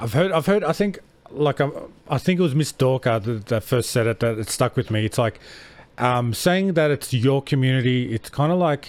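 This man has an Australian accent and a medium pitch. He talks at a moderate pace with ordinary pitch variation. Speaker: podcast host. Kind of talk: casual chat.

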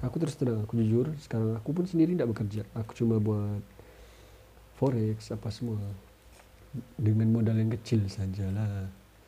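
At a moderate pace, a man speaks at a medium pitch with ordinary pitch variation and long, frequent pauses. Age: 30s. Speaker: podcaster. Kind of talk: casual monologue.

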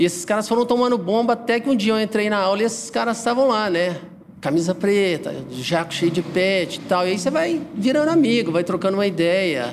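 Speaking at a fairly quick pace, a man with a high voice uses lively intonation over noticeable background noise. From Goiás, Brazil. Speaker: underground music figure and T-shirt brand owner. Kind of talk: casual chat.

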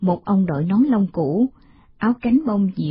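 Lively intonation marks this plain reading aloud.

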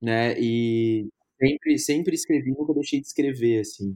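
A man's medium-pitched voice, dark and mellow in tone, with ordinary pitch variation at a fairly slow pace. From Brazil, Brasília. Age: 30s. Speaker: film critic and journalist. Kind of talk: casual interview.

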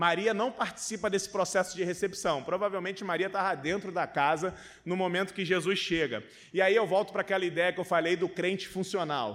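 Here a man talks at a fairly quick pace in a high voice. The recording is very clean, with a silent background. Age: 30s. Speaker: pastor. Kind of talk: sermon. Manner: animated.

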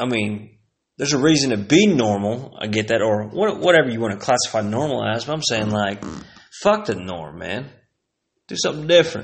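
With lively intonation and a fairly quick pace, a man in an American accent speaks amid audible room echo. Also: medium pitch for a man. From Texas (Plano). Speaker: podcast host. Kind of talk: casual monologue. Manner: animated.

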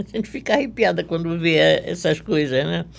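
A woman is speaking. Her pace is moderate. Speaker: dressmaker and embroiderer. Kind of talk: interview.

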